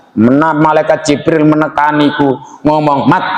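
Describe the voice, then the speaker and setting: Against noticeable background noise, a man with a Javanese accent speaks in a relaxed tone at a moderate pace and a fairly high pitch. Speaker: Islamic preacher. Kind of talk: religious sermon to a congregation. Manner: relaxed, humorous.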